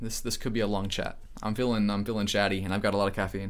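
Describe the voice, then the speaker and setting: There is audible room echo around this man's voice. His tone is animated and his pace very fast. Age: 20s. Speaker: IT educator and streamer. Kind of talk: live stream chat. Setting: live stream. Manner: casual, animated.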